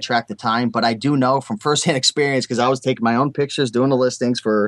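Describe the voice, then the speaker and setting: Recorded dry and close with no echo, a man's medium-pitched voice holds fairly even intonation. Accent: New England. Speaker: eBay seller. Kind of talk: interview answer.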